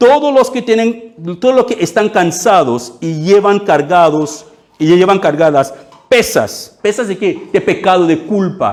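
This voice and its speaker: A man speaks with a non-native accent at a high pitch. He talks at a fairly slow pace. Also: lively intonation. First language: not Spanish (speaking Spanish). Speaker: pastor. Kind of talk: sermon. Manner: halting, with frequent fillers and repeats.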